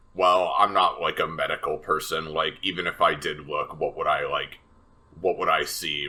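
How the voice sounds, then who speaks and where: A man's put-on character voice at a moderate pace. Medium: actual play.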